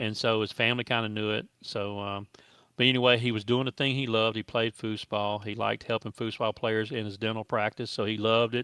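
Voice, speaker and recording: With a Southern US accent, a man speaks fairly quickly at medium pitch in a flat monotone, his tone bright and sharp, the sound dry and close with no echo over a quiet background. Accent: US South. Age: 60s. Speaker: foosball tournament promoter. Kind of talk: casual chat.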